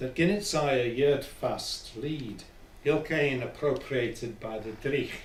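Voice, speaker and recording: Recorded with audible room echo, a man with a fairly high pitch speaks at a very slow pace. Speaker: poet. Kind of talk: poetry reading.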